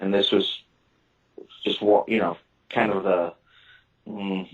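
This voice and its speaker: A man with a slight southern Illinois accent speaks at a moderate pace. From US Midwest, southern Illinois. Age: 40s. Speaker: author and witness. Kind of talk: interview. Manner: halting.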